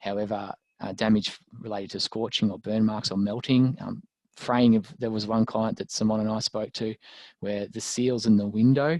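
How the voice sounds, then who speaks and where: A man's fairly low voice in an Australian accent, with fairly even intonation and a dry, close sound with no echo. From Australia, rural Victoria. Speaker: lawyer. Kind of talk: webinar presentation. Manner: fast.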